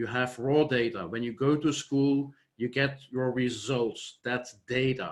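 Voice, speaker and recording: In a Flemish Belgian accent, a man speaks at a very slow pace. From Flanders, Belgium. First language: Dutch. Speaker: software company founder. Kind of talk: conference presentation. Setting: online conference.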